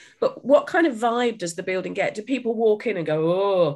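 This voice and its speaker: A woman speaks at a fairly quick pace in a British accent. Her pitch swings very widely. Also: quiet background. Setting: remote video call.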